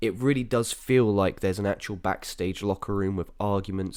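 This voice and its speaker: Very clean recording with a silent background. A man speaks at a fairly low pitch with ordinary pitch variation. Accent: English. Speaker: wrestling podcast host. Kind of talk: casual review podcast. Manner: casual, filler-heavy.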